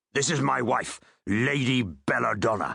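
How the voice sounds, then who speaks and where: A man's growling put-on character voice at medium pitch and moderate pace, with lively intonation. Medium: read story. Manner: pompous, oily.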